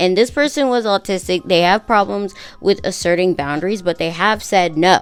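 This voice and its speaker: A woman's medium-pitched voice, with ordinary pitch variation, goes at a moderate pace while music plays in the background. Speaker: YouTuber and TikTok creator. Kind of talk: casual commentary video. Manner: halting, with repeated words.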